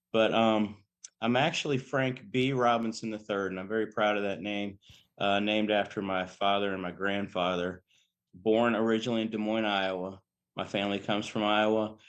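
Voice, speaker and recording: With an American accent, a man talks at a fairly quick pace in a fairly low voice, his intonation fairly even. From Maryland, DC metro area. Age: 60s. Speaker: bodybuilder and fitness model. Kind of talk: casual interview chat. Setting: podcast recording. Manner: talkative.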